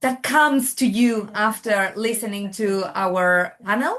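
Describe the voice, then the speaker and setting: Against a quiet background, the speaker talks with a Spanish accent. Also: woman. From Spain. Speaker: oncology nurse. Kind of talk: webinar moderation.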